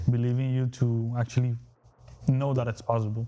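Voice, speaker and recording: A man with a strong Spanish accent speaks at a moderate pace and medium pitch, his dark, mellow tone held in a monotone, flat intonation. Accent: heavy Spanish. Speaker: real estate wholesaler. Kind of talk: casual chat.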